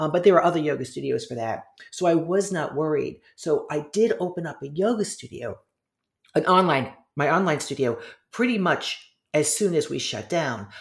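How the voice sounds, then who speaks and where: This woman has a plain, everyday voice with fairly low pitch. She talks at a moderate pace with lively intonation. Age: 50s. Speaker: yoga teacher and author. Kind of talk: casual chat.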